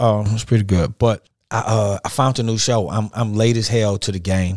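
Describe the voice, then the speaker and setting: A man with a fairly low pitch talks at a fairly quick pace with fairly even intonation. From Detroit, US Midwest. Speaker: podcast host. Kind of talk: casual interview chat.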